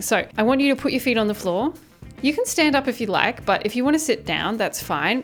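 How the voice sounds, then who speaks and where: A woman with lively intonation over noticeable background noise. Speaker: podcast producer and vocal coach. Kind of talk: tutorial. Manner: instructive.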